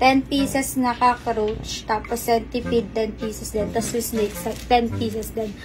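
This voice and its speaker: Music plays in the background. The speaker keeps a fairly slow pace and a fairly even intonation. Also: woman. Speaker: vlogger. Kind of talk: prank vlog, casual talk to camera.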